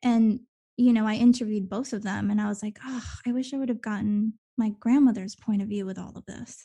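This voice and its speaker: A somewhat breathy, dark and mellow voice, monotone and flat, at a moderate pace with big swings in loudness over a quiet background. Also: woman. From Venezuela, then raised in eastern US from age eight. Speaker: actor. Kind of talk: casual interview chat.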